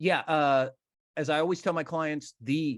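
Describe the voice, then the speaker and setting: Over a quiet background, a man with a plain, everyday voice speaks at a fairly high pitch and a moderate pace, the sound dry and close with no echo. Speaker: benefit auctioneer, fundraising consultant and author. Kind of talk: interview answer, conversational storytelling.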